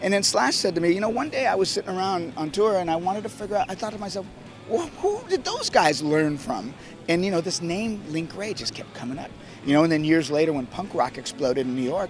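The speech is very fast over light background noise. The sound is dry, with no echo. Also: man. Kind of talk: interview answer. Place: street. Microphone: handheld.

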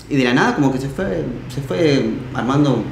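A man is speaking. There is audible room echo and light background noise. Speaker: interviewee. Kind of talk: interview answer. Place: home room.

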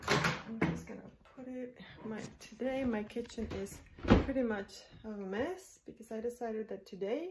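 A woman's voice at a fairly slow pace, with ordinary pitch variation over loud background noise. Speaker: home cooking vlogger. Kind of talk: casual vlog chat. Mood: relaxed, warm, self-care talk. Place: kitchen. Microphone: phone near.

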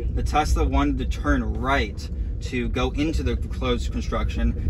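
Over noticeable background noise, a man speaks at a very deep, low pitch with fairly even intonation. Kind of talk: commentary. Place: car.

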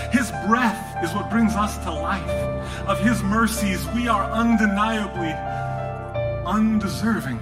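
A man talks at a very slow pace over loud background noise. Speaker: spoken word poet. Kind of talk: live spoken word poetry performance. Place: stage.

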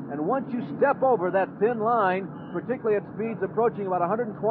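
A man talks at a fairly quick pace with a high pitch. His pitch varies in an ordinary way, and there is noticeable background noise. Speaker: race color commentator. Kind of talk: live commentary.

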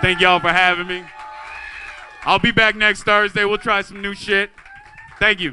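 With music in the background, a high-pitched man uses an animated tone and a raised, projected voice at a moderate pace, taking long, frequent pauses. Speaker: amateur stand-up comedian. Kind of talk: open-mic stand-up comedy, crude and profane. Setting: stage with audience at open mic night. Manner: animated, brash, swearing-heavy, casual storyteller. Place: stage. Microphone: handheld.

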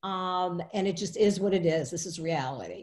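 A woman speaks with a dark, mellow tone. The background is quiet. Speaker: webinar presenter. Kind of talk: lecture. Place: home room. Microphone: webcam.

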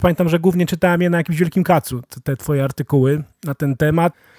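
Speaking at a fairly quick pace, a man with a high pitch and a dark, mellow tone keeps a monotone, flat intonation, captured in a very clean recording with a silent background and a dry, close sound with no echo. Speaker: podcast host. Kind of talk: casual interview. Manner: casual, colloquial.

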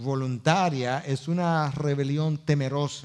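Ordinary pitch variation marks this very slow delivery, set against a quiet background. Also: man. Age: 50s. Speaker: pastor. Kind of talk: sermon. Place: stage.

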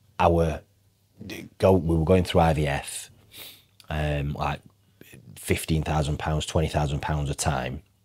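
With a Yorkshire accent, a man speaks very slowly in a very deep, low pitch, leaving long, frequent pauses against a quiet background. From northern England. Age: 30s. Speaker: financial advisor; podcast guest. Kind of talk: casual chat. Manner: animated. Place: studio. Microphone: lapel.

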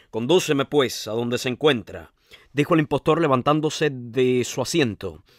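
The clip features an unforced reading voice.

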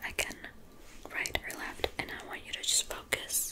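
At a moderate pace, a woman talks in a soft-spoken manner. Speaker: ASMR creator. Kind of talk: soft ASMR instruction. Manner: soft, hushed ASMR voice. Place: home room.

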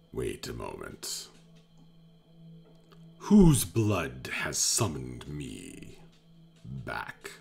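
Putting on a character voice, a man speaks at a very slow pace in a very deep, low pitch, leaving long, frequent pauses over faint music in the background. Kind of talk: theatrical villain voice. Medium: actual play. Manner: grandiose, menacing, then pleading.

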